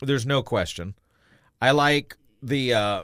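This man's medium-pitched voice comes through on a very clean recording with a silent background. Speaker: radio co-host. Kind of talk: angry political rant. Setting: radio studio broadcast.

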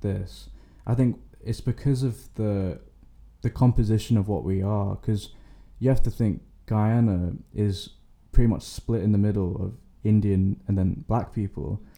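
With a London accent and a dark, mellow tone, a man speaks at a fairly low pitch and moderate pace, with ordinary pitch variation and long, frequent pauses. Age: young. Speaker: university student. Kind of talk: casual chat.

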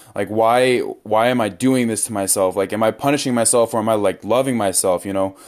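A man with an ordinary speaking voice talks at a fairly quick pace, with medium pitch and fairly even intonation. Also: hardly any pauses. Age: 20s. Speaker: podcast host. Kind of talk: casual chat.

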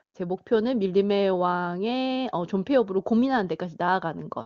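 A woman with an unremarkable speaking voice talks at a medium pitch with ordinary pitch variation. She leaves hardly any pauses. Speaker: phone guest. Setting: phone call.

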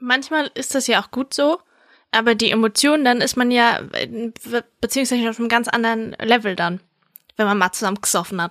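A woman talks at a fairly quick pace with a fairly high pitch and ordinary pitch variation, broken by long, frequent pauses. The sound is dry and close, with no echo. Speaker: podcast co-host. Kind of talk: casual chat. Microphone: new microphone.

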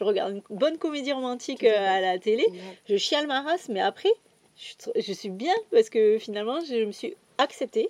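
A woman's high-pitched voice makes very wide pitch swings at a moderate pace, with a dry, close sound and no echo. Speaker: astrology coach. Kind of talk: casual chat. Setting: outdoors.

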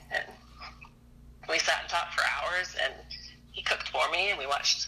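Noticeable background noise is present throughout. The speaking pace is fairly quick. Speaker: returning caller. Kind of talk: casual chat.

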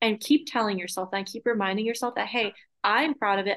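Her intonation fairly even, a woman speaks at a fairly high pitch with an American accent. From Massachusetts. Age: 20s. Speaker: content creator. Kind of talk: podcast interview.

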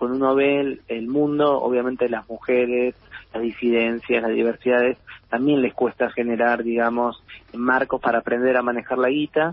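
Monotone, flat intonation from a man at medium pitch and a moderate pace. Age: 40s. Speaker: philosopher and writer. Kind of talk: interview.

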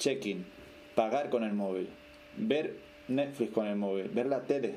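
A man in a Canarian accent, medium in pitch with ordinary pitch variation, over noticeable background noise. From Canary Islands, Tenerife (Puerto de la Cruz). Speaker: podcast guest, emigrant. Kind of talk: casual interview.

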